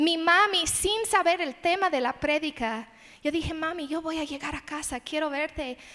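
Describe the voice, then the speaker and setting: A woman speaks at a fairly slow pace in an English accent. Her tone is bright and sharp. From United States (born in Las Vegas). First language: English (speaking Spanish). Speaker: missionary, conference speaker. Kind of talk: sermon.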